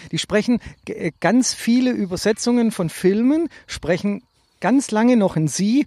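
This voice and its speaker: A man speaks at a fairly slow pace with lively intonation. The sound is dry and close, with no echo. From Stuttgart-Bad Cannstatt, Swabia. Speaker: podcast co-host. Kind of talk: casual chat.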